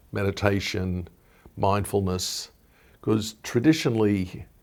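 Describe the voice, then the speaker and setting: On a very clean recording with a silent background, a man with a fairly low pitch and an Australian accent speaks at a fairly slow pace with fairly even intonation. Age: 60s. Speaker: wellness entrepreneur. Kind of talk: interview.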